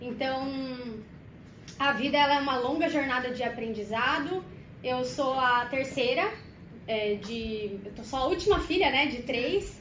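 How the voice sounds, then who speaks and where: With a high voice and lively intonation, a woman talks at a fairly slow pace. She leaves long, frequent pauses, and room echo is audible. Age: 30s. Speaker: corporate communications specialist. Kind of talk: podcast interview.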